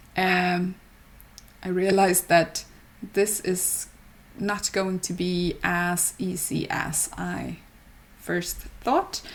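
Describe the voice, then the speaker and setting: In a non-native accent, a woman speaks very slowly with long, frequent pauses, vocal fry, a medium pitch and monotone, flat intonation. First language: not English. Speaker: gaming YouTuber. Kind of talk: voiceover narration of game build. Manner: halting, many fillers.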